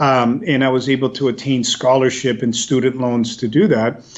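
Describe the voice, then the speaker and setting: A man with a Spanish accent, medium-pitched, at a moderate pace. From US, raised partly in El Salvador then US. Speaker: policy executive, former government official. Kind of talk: interview.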